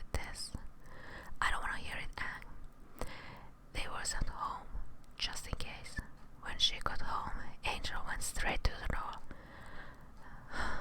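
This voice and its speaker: A woman whispers in a calm tone at a very slow pace, leaving long, frequent pauses. Noticeable background noise sits behind her. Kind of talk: story narration. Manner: soft-spoken, calm, relaxing.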